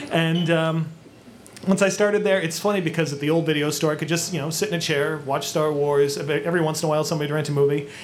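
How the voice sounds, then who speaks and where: A man with an American accent speaks very fast at a fairly high pitch with fairly even intonation. Noticeable background noise is present. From Lynn, Massachusetts. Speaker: former video store clerk. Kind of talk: live podcast panel chat. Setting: stage with audience.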